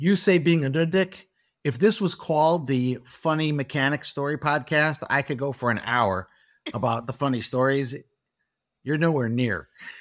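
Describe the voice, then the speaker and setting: Over a silent background in a very clean recording, a man speaks at a fairly high pitch. He has a Chicago accent and ordinary pitch variation. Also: moderate pace. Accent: Chicago American. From US Midwest, Chicago. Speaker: car mechanic. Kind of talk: interview. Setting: studio.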